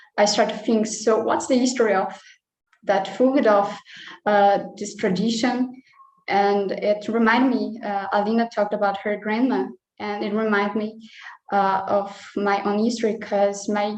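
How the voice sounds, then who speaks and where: A woman speaks at a medium pitch in a monotone, flat intonation. Her pace is fairly slow. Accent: Brazilian Portuguese. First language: Portuguese. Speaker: nutritionist. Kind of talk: personal sharing in online meeting. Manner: halting, many hesitations.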